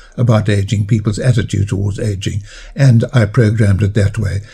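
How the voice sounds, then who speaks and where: A somewhat breathy voice with a dark, mellow tone and monotone, flat intonation. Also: man. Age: 80s. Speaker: biologist and author. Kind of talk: interview.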